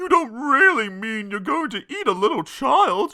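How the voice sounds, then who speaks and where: In a put-on character voice, a man speaks at a moderate pace with an extremely high pitch and very wide pitch swings. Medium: read story.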